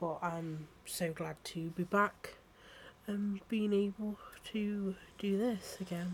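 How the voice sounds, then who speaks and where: A woman with an English accent speaks at a very slow pace and medium pitch, somewhat breathy, with fairly even intonation. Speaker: podcast host. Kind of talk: casual solo monologue intro. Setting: recording at home while on TikTok Live.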